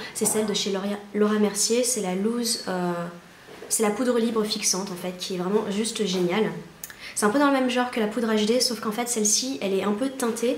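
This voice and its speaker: Against noticeable background noise and audible room echo, a woman talks at a fairly quick pace with a fairly high pitch and fairly even intonation. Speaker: beauty vlogger. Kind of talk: casual vlog tutorial. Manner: fast; hesitant, many fillers.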